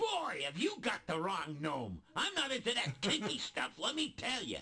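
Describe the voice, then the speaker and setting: A put-on character voice sits at a middle pitch. Its speed is moderate. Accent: New York. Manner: indignant, comic.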